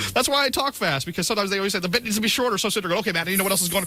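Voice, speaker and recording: Over noticeable background noise, a man with a high pitch uses a raised, projected voice in an animated tone. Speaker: morning radio show co-host. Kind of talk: casual on-air banter. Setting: radio studio. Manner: fast.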